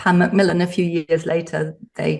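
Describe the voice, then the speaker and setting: With an English accent, a woman talks at a moderate pace in a fairly low, somewhat breathy voice. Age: 60s. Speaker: psychotherapist and author. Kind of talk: podcast interview.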